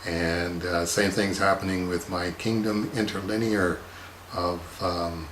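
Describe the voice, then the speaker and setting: Over noticeable background noise and audible room echo, a man with a very deep, low pitch talks very slowly in a monotone, flat intonation. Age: 60s. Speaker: comics artist. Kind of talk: casual monologue answering viewer questions. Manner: halting, many filler words.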